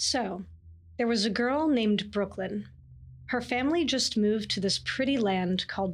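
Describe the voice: The pitch rises and falls in an ordinary way. Someone is doing plain reading aloud.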